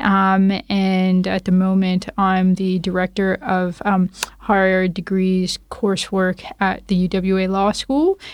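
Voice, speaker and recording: In a Canadian accent, the speech comes at a very slow pace with monotone, flat intonation and very even loudness, on a very clean recording with a silent background. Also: woman, medium pitch for a woman. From Toronto, Canada. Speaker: lawyer and law academic. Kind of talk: casual interview.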